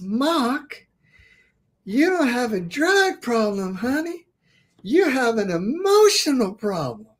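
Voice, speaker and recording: Putting on a character voice in a Southern US accent, the speaker uses a fairly high pitch with very wide pitch swings. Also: fairly slow pace. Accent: Southern American. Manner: warm, gentle.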